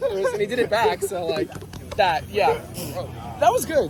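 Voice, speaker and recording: Over crowd noise in the background, a man speaks at a fairly quick pace in an animated tone with lively intonation. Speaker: theme park vlogger. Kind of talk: casual vlog narration. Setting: outdoors at theme park.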